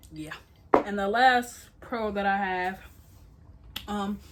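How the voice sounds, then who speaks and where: A woman talks in a somewhat breathy voice, her pitch varying in an ordinary way. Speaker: YouTuber. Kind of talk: casual vlog monologue. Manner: stuttering, filler-heavy.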